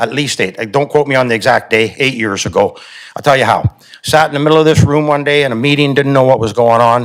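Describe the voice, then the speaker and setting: Speaking at a very fast pace, a man holds a medium pitch with ordinary pitch variation. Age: 60s. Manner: impassioned.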